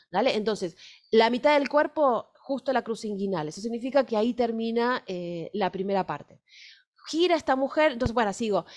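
A woman at a moderate pace with lively intonation, against a quiet background. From Argentina. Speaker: fashion illustration teacher; fashion drawing teacher. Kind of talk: workshop lecture with live drawing; lecture. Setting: recorded video workshop, on camera. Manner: hesitant, many fillers. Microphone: webcam.

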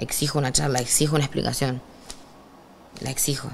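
Over light background noise, a woman with a Rioplatense accent talks at a fairly quick pace in a very deep, low pitch. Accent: Argentine Rioplatense Spanish. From Argentina, Rosario; Argentina. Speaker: trap artist; interviewee. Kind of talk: interview, casual chat. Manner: animated. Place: studio.

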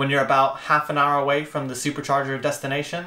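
Amid audible room echo, a man speaks at a very fast pace. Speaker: co-host of a car channel. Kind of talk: casual review talk. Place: home room.

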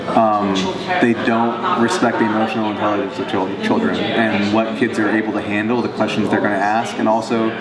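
A man speaks at a fairly quick pace with ordinary pitch variation against loud background noise. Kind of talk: interview answer. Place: hall. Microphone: camera far.

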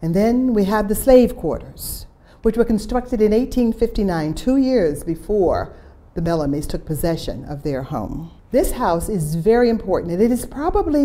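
A woman speaks with very wide pitch swings. Her pace is moderate. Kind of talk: guided tour narration. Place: home room. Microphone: lapel.

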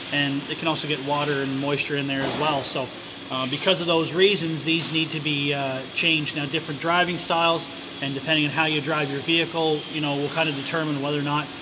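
Over noticeable background noise, a man speaks very fast in a flat monotone. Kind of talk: tutorial. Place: garage.

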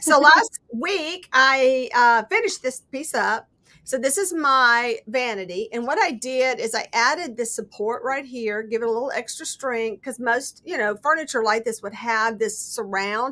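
With a high pitch and lively intonation, a woman speaks at a moderate pace with hardly any pauses. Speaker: guest. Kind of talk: casual craft show-and-tell. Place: home room. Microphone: webcam.

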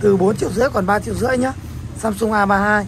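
Light background noise sits under speech delivered at a very fast pace. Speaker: phone seller. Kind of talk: product showcase commentary. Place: shop. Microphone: camera far.

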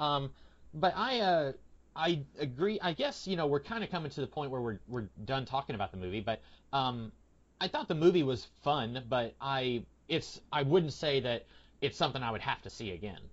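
Against a quiet background, a man with an American accent, a normal speaking voice and a fairly high pitch talks at a moderate pace with lively intonation. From Tennessee, US South. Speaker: YouTube channel host. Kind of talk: casual film discussion.

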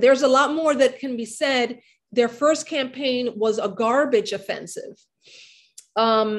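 Over a quiet background, a woman talks at a moderate pace with a high pitch. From New York City, the Bronx. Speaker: history professor and author; history professor. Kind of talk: academic book discussion. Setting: video call. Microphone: video call.

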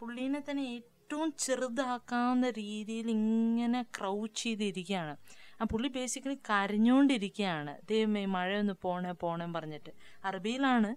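A woman with a normal speaking voice, fairly high in pitch, with lively intonation. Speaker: podcast host's wife, book reader. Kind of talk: casual chat.

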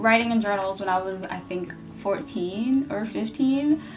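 Some light noise runs in the background. Over it, a woman talks. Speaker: vlogger. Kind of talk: casual vlog chat. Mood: cozy, relaxed. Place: home room. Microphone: camera far.

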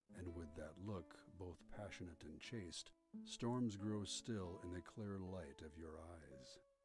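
Clear music plays behind a man with a very deep, low pitch who speaks at a very slow pace, the sound dry with no echo. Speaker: voice actor. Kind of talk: poetry reading. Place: studio. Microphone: studio mic.

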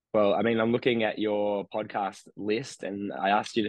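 Man with an Australian accent, dry sound with no echo, quiet background. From regional New South Wales, Australia. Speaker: meditation teacher; podcast guest, meditation teacher. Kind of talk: interview conversation. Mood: calm, warm, explanatory. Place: home room. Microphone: studio mic.

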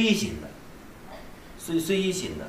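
Spoken in a Tibetan accent, the clip has audible room echo and light background noise. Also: man. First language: Tibetan (speaking Chinese). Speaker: Buddhist abbot teacher. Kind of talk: dharma lecture. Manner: halting, many fillers and repetitions. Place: hall.

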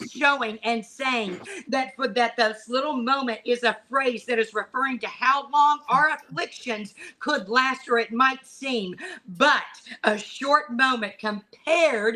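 Raised and projected, a woman's bright, sharp voice sits high in pitch with ordinary pitch variation and moves at a fairly slow pace. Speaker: pastor and prayer leader. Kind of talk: fervent prayer, decreeing and declaring over the nation. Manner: impassioned, rising intensity in prayer, crying out; halting and hesitant when recounting vision, many ums. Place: home room. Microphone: video call.

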